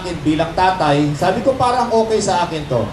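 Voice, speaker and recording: Loud and high-pitched, a man speaks in a room with audible echo and noticeable background noise. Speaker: church speaker. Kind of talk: sermon.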